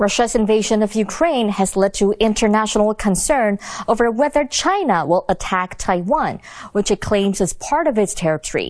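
An unremarkable speaking voice from a woman, fairly high in pitch, with lively intonation, a moderate pace and very even loudness. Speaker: news anchor. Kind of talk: news reading. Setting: studio. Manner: formal.

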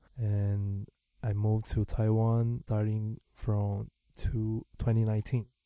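A man speaks very slowly in a fairly low, dark and mellow voice, flat and monotone, with a dry, close sound and no echo. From Brazil. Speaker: DJ and music producer. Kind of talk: casual interview. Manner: halting, filler words.

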